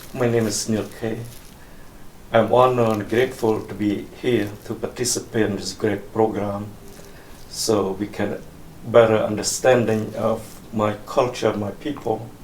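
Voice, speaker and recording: Fairly low-pitched and flat, a man speaks at a fairly slow pace. There is audible room echo and noticeable background noise. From Cambodia, western rural town near Thai border. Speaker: oral history interviewee. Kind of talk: oral history interview. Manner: halting.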